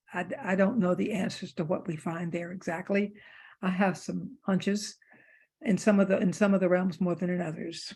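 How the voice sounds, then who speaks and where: On a very clean recording with a silent background, a woman speaks at medium pitch and a moderate pace, somewhat breathy, with fairly even intonation. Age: 70s. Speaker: author and theologian. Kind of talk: book group discussion talk. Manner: halting, many fillers.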